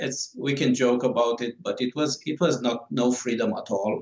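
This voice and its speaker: Speaking fairly slowly in a Romanian accent, a man has a medium pitch and ordinary pitch variation. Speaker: author. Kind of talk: interview. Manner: halting.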